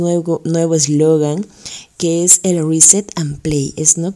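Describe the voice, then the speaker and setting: A woman speaks with a Peruvian accent. Her pitch is fairly low and her pace fairly slow. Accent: Peruvian Spanish (Lima). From Peru (Lima). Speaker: radio host and teacher. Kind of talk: religious radio program.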